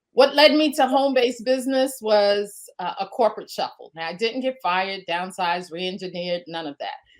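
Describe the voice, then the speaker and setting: A woman with a Brooklyn accent, a fairly high pitch and lively intonation, at a fairly quick pace. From Brooklyn, New York. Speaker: home-based business entrepreneur. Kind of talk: interview. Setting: podcast.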